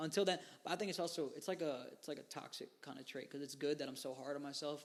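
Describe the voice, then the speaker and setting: Ordinary pitch variation runs through speech delivered very fast. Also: man. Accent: American. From New York. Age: 20s. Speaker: musician. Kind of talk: interview.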